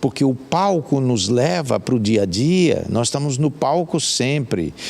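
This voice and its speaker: A man at medium pitch and a fairly slow pace, lively in intonation, with very even loudness. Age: 60s. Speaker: hiker and life coach. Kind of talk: interview. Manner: halting.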